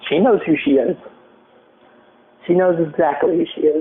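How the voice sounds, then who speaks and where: A man speaks at a moderate pace with a fairly high pitch and ordinary pitch variation. Noticeable background noise can be heard. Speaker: podcast host. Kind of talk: casual chat.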